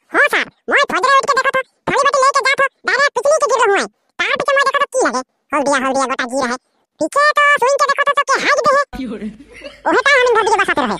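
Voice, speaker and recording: A squeaky, cartoonish character voice at an extremely high pitch and a very fast pace. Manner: excited, rambling.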